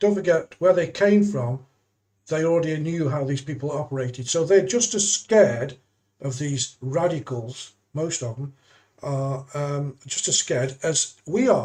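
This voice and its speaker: With an English accent, a man speaks at a fairly slow pace, his dark, mellow tone carried by lively intonation. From England. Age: 70s. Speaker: YouTuber. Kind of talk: live stream monologue. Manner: halting.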